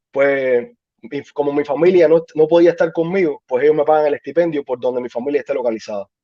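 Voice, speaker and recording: At a fairly quick pace, a man speaks in a fairly high pitch with a dark, mellow tone, the sound dry and close with no echo. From Cuba. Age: 30s. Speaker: army veteran. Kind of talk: interview.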